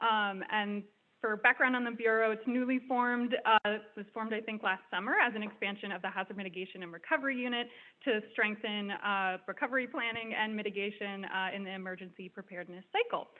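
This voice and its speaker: Noticeable background noise sits under a woman's fairly high voice. She speaks at a fairly quick pace with fairly even intonation. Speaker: graduate student fellow. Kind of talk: graduation speech. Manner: soft-spoken.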